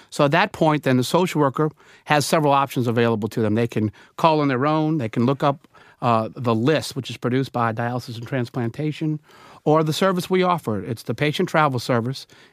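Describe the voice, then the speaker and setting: Recorded very clean with a silent background and a dry, close sound with no echo, a man with a New Orleans accent talks at a fairly quick pace in a fairly high pitch with ordinary pitch variation. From New Orleans, Louisiana. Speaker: dialysis travel services representative. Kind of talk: interview.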